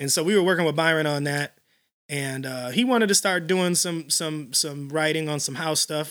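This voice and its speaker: In an American accent, a man uses a normal speaking voice at a fairly high pitch, with ordinary pitch variation and a moderate pace. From Illinois, Chicago area (Elgin). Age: 40s. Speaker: house music DJ and producer. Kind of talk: casual interview.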